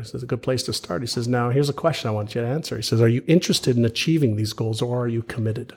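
Speaking very fast with hardly any pauses, a man with a medium pitch sounds somewhat breathy and uses ordinary pitch variation. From Montreal, Canada (born in Israel). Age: 50s. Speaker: author and entrepreneur. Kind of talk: interview conversation. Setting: live podcast in person.

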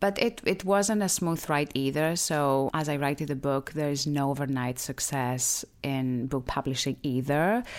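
In a Greek accent, a woman with a very deep, low pitch speaks at a fairly slow pace with lively intonation in a very clean recording with a silent background. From Greece, small island. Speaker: beauty brand founder. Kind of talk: interview.

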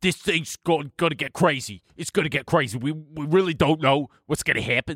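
Putting on a character voice in an East Coast US accent, a man speaks at a moderate pace and a fairly high pitch.

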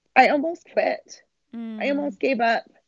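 A somewhat breathy woman's voice in a Utah accent, with ordinary pitch variation. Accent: American (Utah). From Utah, Salt Lake City area. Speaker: marathon runner and triathlete. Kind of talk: interview.

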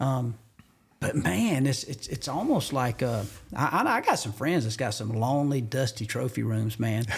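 The speaker sounds somewhat breathy, with a Southern US accent and ordinary pitch variation. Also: man, medium pitch for a man, moderate pace. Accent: Southern US (Georgia). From US South, rural Georgia. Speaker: hunting TV host. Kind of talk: casual chat. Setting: studio.

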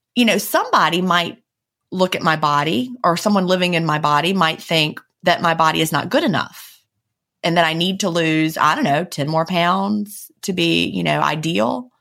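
A woman speaks with lively intonation and a bright, sharp tone touched by vocal fry. The recording is very clean, with a silent background. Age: 40s. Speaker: podcast co-host and author. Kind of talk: casual chat. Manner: fast.

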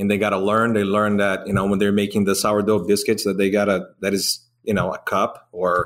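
On a very clean recording with a silent background, a man with a Brazilian accent speaks at a fairly low pitch and a moderate pace. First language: Portuguese. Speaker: restaurant owner. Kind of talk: casual interview chat.

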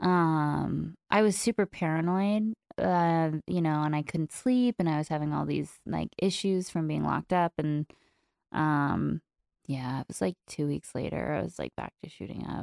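Delivery is at a fairly slow pace. The recording is very clean with a silent background and a dry, close sound with no echo. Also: woman. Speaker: recovery podcaster and social media personality. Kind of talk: casual interview conversation. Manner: candid, open.

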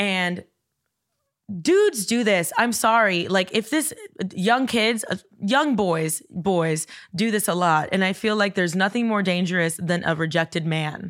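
A woman with an American accent, animated in tone, with ordinary pitch variation, very even loudness and a fairly slow pace. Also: medium pitch for a woman. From US South, Florida (Coral Gables). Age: 30s. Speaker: TikTok creator. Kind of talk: casual chat.

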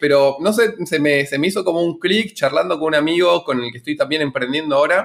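A man with a fairly high pitch talks at a fairly quick pace with hardly any pauses, in an unremarkable speaking voice. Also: ordinary pitch variation. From Argentina. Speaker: startup founder. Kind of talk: interview.

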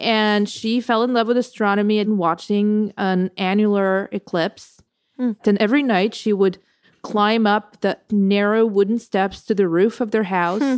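A woman's ordinary speaking voice at a medium pitch, with very even loudness and fairly even intonation, on a very clean recording with a silent background. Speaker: writer and poetry curator. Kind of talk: guest chat with poem reading aloud.

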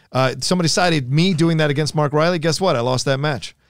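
This man has a plain, everyday voice, pitched fairly high with ordinary pitch variation, on a very clean recording with a silent background. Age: 30s. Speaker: live show host. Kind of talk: casual chat. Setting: studio.

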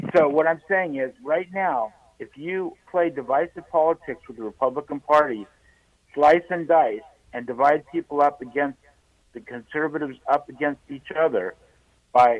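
This man has an ordinary speaking voice, fairly high in pitch, with ordinary pitch variation. He moves at a moderate pace, and his loudness swings widely. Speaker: radio caller. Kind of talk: call-in discussion. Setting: phone call.

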